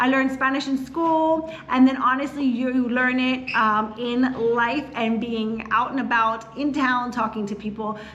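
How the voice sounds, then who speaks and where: Speaking with a Philadelphia accent, a woman with a high pitch and fairly even intonation talks with hardly any pauses over noticeable background noise. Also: fairly slow pace. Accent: Philadelphia-area American English. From US, Philadelphia area. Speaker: real estate agent. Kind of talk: casual chat.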